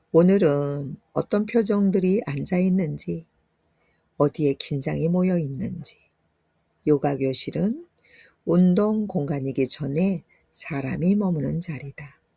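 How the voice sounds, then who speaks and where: A woman's very slow, fairly low, dark and mellow voice, somewhat breathy, with long, frequent pauses. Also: ordinary pitch variation. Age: 60s. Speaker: yoga instructor. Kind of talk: reading her own ebook aloud.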